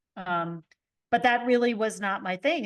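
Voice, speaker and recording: A woman talks at a fairly slow pace in a normal speaking voice with ordinary pitch variation. The background is quiet. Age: 60s. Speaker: podcast host. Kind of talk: interview.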